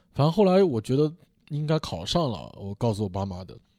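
Captured on a very clean recording with a silent background, a man speaks in a dark, mellow tone. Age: 30s. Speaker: stand-up comedian. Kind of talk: casual chat.

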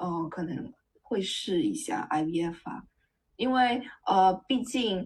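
A somewhat breathy woman's voice at a very slow pace, with very wide pitch swings. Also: medium pitch for a woman. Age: 30s. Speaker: tech worker sharing egg-freezing experience. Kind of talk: casual chat.

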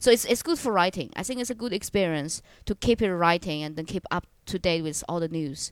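In a Chinese accent, a woman speaks at a fairly quick pace with a fairly low pitch. The recording is very clean with a silent background. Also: lively intonation. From China. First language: Mandarin Chinese. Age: 20s. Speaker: stand-up comedian. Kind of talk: casual chat.

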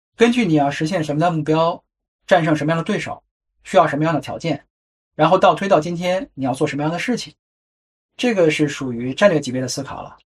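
Speaking very fast yet with long, frequent pauses, a man uses a fairly high pitch with ordinary pitch variation and big swings in loudness. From China. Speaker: podcast host. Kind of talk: solo narrative podcast.

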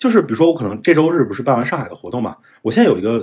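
Speaking at a very fast pace, a man with a fairly high voice makes very wide pitch swings. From northern China. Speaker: investor. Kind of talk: interview. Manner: casual.

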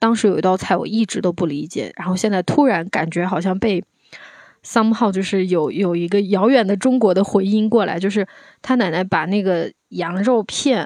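A woman with a medium pitch has a normal speaking voice. She speaks at a moderate pace with ordinary pitch variation. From Anhui, China. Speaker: podcast guest, visiting friend. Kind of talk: casual chat.

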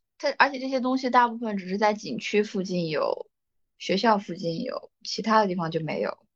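A woman talks at a moderate pace in a normal speaking voice. Her pitch is fairly high, with ordinary pitch variation. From China. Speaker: podcast co-host. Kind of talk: casual chat. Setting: studio.

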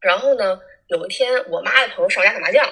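The speaker is a woman. She has a Northeastern Chinese accent. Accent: Northeastern Mandarin (Changchun). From Northeast China, Changchun. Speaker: former social media influencer. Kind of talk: casual chat. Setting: remote call.

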